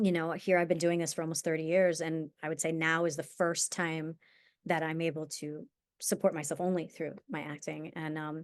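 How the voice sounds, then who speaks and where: With an American accent, a woman speaks in a fairly low pitch. Her intonation is monotone and flat against a quiet background. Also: moderate pace. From New York, US. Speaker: actor. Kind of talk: interview. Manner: halting.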